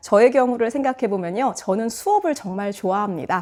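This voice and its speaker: A woman is speaking. Her pace is fairly quick. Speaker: middle school teacher and book YouTuber. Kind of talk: book review talk.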